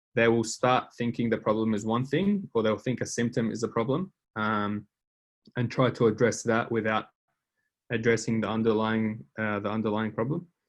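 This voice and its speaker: Against a quiet background, a man speaks at a medium pitch with fairly even intonation. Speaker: design instructor. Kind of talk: lecture. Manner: fast; hesitant fillers.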